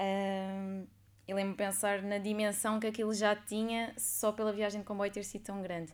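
Speaking at a moderate pace, a woman keeps a medium pitch and a monotone, flat intonation. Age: 20s. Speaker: former exchange student, NGO communications worker. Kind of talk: casual interview chat.

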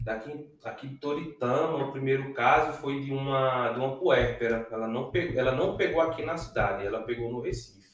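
Medium-pitched man, moderate pace, ordinary pitch variation, hardly any pauses. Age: 30s. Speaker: emergency physician. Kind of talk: casual interview chat. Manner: halting, repeats words.

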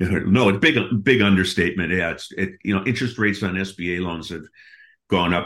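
A man with an American accent on a very clean recording, silent background. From US Midwest, Milwaukee, Wisconsin. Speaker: business acquisition consultant. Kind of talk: interview.

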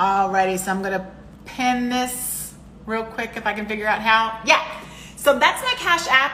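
Fairly high woman's voice at a moderate pace, with audible room echo. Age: 40s. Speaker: podcast host. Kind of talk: casual chat.

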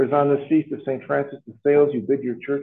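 A man talks at a fairly quick pace, pitched fairly high. His is an ordinary speaking voice. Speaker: priest celebrating Mass. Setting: school chapel with congregation.

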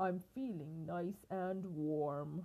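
A woman's put-on character voice, fairly low in pitch with a dark, mellow tone, fairly even intonation, and a very slow pace.

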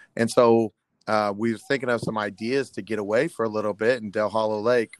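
The speaker has a Midwestern US accent. The intonation stays fairly even. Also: man. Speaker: middle school history teacher and football coach. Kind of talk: casual interview.

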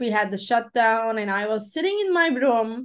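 A woman with a Turkish accent and a fairly high pitch, showing ordinary pitch variation, over a quiet background. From Turkey. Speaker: life coach and motivational speaker. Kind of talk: podcast interview. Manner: non-native English, some grammar slips.

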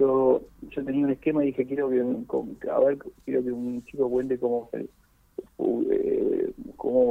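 A man is speaking. He has an Argentine accent. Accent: Rioplatense Argentine Spanish. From Argentina, Buenos Aires (Boedo). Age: 50s. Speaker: poet and writer. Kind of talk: interview.

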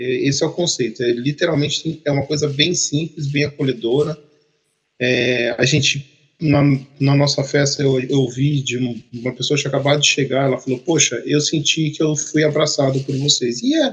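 A man speaks at a fairly high pitch with fairly even intonation. His somewhat breathy voice keeps a moderate pace. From Brazil, Campinas (São Paulo state). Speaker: project manager, podcast co-host. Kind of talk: casual chat.

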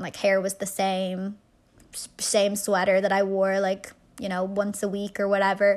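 A woman with an American accent, medium pitch, moderate pace and monotone, flat intonation, in a very clean recording with a silent background. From Ireland. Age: 20s. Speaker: podcast host. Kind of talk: casual chat, solo episode monologue. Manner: casual, chatty, uses filler words.

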